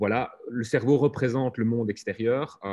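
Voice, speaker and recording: Over a quiet background, a man speaks at medium pitch in a dark, mellow tone. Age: 40s. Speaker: software lead; conference speaker. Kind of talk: conference talk. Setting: video call. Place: hall.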